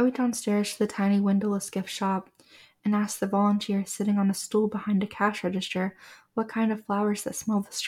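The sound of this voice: Here a voice reads in an unforced manner.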